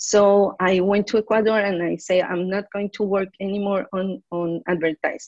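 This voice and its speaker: A woman speaks with a Spanish accent at a moderate pace, her pitch medium and her intonation fairly even. The sound is dry and close with no echo, and there are hardly any pauses. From Colombia. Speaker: advertising professional. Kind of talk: interview. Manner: halting, many repetitions.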